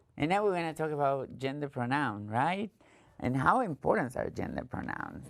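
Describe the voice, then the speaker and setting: A woman speaks with an Argentine accent at a moderate pace. Her pitch is very deep and low, and her intonation is lively. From Argentina. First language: Spanish. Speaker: trainer. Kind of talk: training presentation.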